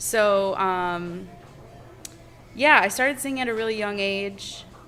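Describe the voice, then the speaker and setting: With an American accent, a woman speaks at a medium pitch and a fairly slow pace. Her pitch varies in an ordinary way, with audible room echo and music in the background. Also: long, frequent pauses. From Michigan, US. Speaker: singer. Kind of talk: casual chat. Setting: bar.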